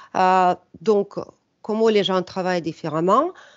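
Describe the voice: A woman with a non-native accent speaks at a fairly slow pace. Her pitch varies in an ordinary way. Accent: foreign, non-French.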